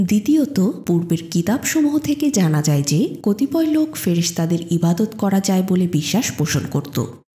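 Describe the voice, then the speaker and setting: A woman's medium-pitched voice with very wide pitch swings and very even loudness. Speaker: audiobook narrator. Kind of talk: reading aloud. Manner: calm, soothing.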